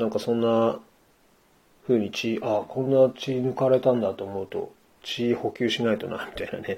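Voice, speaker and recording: A man talks at a moderate pace in a dark, mellow tone. His intonation stays monotone and flat. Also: medium pitch for a man. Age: 40s. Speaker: podcaster. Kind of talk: solo monologue. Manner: halting.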